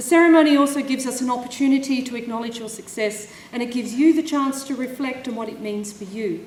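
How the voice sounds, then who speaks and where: A woman with an Australian accent talks at a very fast pace with hardly any pauses, her high voice showing ordinary pitch variation and big swings in loudness. Noticeable background noise and audible room echo fill the recording. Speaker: university official presiding over graduation ceremony. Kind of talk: ceremonial speech. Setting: stage with audience at graduation ceremony.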